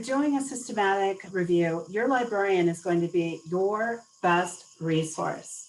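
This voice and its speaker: An unremarkable speaking voice from a woman with an American accent, medium in pitch, at a fairly slow pace with ordinary pitch variation. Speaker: webinar presenter. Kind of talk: webinar Q&A.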